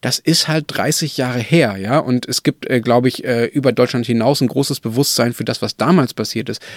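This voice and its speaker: This man has a normal speaking voice at a medium pitch, with ordinary pitch variation and a moderate pace, in a dry, close sound with no echo. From Germany. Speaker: political journalist, podcast co-host. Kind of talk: casual chat.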